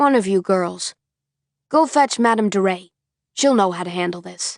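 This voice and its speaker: A woman uses a put-on character voice at medium pitch and a moderate pace, with lively intonation. The sound is dry and close with no echo, over a quiet background. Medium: read story. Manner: formal, old-fashioned.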